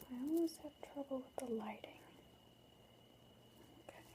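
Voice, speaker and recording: The speaker is soft-spoken. Delivery moves at a moderate pace. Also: woman. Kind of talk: ASMR ramble to camera.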